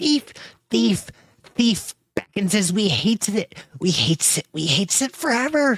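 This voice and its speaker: The speaker uses a put-on character voice at a fairly high pitch. The pace is moderate. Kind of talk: broken speech with a hissing 'we hates it' style. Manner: menacing, hateful.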